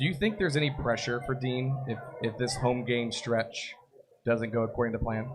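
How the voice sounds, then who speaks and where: A medium-pitched man speaks at a moderate pace with ordinary pitch variation. There is noticeable background noise. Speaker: soccer podcast host. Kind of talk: live podcast chat. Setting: live broadcast at a brewery party.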